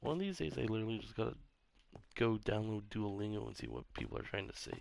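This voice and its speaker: Soft-spoken, a man talks at a very fast pace. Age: 30s. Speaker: gaming streamer. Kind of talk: casual live-stream chat while gaming. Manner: soft-spoken, quiet; casual, rambling with fillers.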